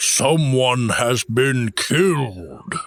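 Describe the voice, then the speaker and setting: Very slowly, a man talks in a put-on character voice. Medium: audio drama. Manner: firm, solemn, commanding.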